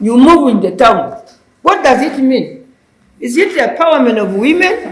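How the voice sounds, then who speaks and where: A woman's high voice with very wide swings in pitch, a fairly slow pace and audible echo in the room. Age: 80s+. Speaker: audience participant. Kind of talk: public comment.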